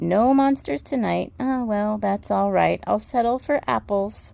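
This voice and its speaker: A put-on character voice unfolds fairly slowly. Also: female-sounding voice, medium pitch for a woman. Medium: read story.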